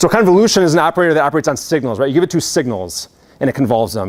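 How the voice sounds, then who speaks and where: A man's fairly high voice with vocal fry, lively intonation and a very fast pace. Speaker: university lecturer. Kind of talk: lecture. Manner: casual, filler-heavy.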